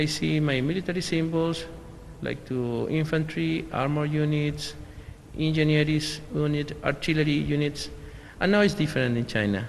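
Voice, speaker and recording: At a moderate pace, a man speaks with fairly high pitch and ordinary pitch variation, with noticeable background noise and audible room echo. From Venezuela. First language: Spanish. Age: 40s. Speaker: military officer. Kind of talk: interview. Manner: halting.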